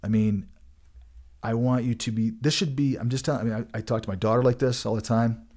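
A man with an American accent talks at a very fast pace in a dark, mellow tone with fairly even intonation, recorded very cleanly against a silent background. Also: medium pitch for a man. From Colorado. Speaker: podcast host. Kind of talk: casual chat.

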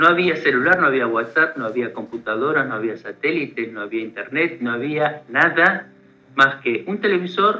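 Noticeable background noise sits behind a man's fairly high voice. He speaks at a moderate pace with lively intonation. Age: 50s. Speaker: war veteran. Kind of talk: interview testimony.

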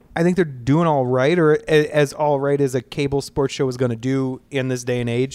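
A man's plain, everyday voice with an American accent, medium in pitch at a moderate pace, with fairly even intonation, in a very clean recording with a silent background. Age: 30s. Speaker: sports podcast host. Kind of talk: casual chat. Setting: cigar shop basement.

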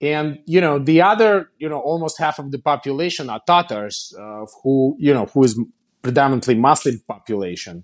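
A man's fairly high voice in a Russian accent, with big swings in loudness over a quiet background. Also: lively intonation, moderate pace. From Kazan, Russia. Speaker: company founder and CEO.

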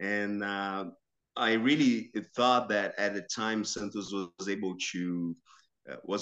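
Low-pitched, though only fairly so, a man talks at a very slow pace. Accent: Portuguese. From Brazil, São Caetano (Metro São Paulo). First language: Portuguese. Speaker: sports journalist and football commentator. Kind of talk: casual interview. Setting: remote call.

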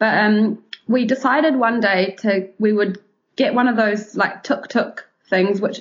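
In a New Zealand accent, a woman speaks with a fairly high, somewhat breathy voice and fairly even intonation. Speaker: travel blogger. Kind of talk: casual interview chat.

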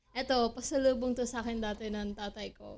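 With an ordinary speaking voice, a woman talks at a fairly slow pace and fairly high pitch, using ordinary pitch variation. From Philippines. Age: 20s. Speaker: podcast host. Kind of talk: casual solo chat.

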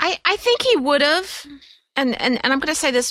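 Speaking in an unremarkable speaking voice, a woman keeps a moderate pace and lively intonation. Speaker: podcast host. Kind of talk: casual chat.

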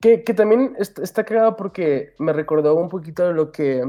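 This man's tone is dark and mellow. His intonation is lively, and his pace is moderate. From Aguascalientes, Mexico, raised in Houston. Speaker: musician. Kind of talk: casual chat.

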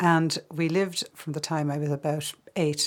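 With an Irish accent, a woman speaks in a very deep, low pitch. Her intonation is monotone and flat. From Ireland, Kildare and the Midlands. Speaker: filmmaker. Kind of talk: interview.

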